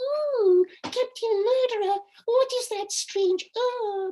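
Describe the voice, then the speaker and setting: This man speaks very slowly in a put-on character voice. His pitch is extremely high and squeaky. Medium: stage play. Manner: wide-eyed, questioning.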